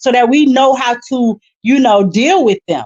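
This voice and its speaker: A loud woman's animated voice, high in pitch, with lively intonation at a fairly slow pace. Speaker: business owner, livestream guest. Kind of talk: livestream discussion, testimony.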